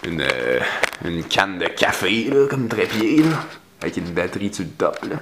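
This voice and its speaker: A man speaks at a moderate pace in a fairly low voice, his pitch swinging very widely, with noticeable background noise. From Quebec, Abitibi. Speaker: vlogger. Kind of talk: casual vlog monologue. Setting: at his mother's house. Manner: hesitant, many fillers and repeats; sometimes exaggerates accent for humor.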